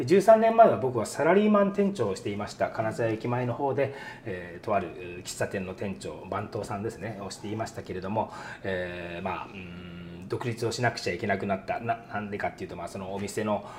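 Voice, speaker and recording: Noticeable background noise runs under this man's voice. He speaks at a fairly low pitch. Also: ordinary pitch variation, fairly quick pace, big swings in loudness. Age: 50s. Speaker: restaurant owner chef. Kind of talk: interview.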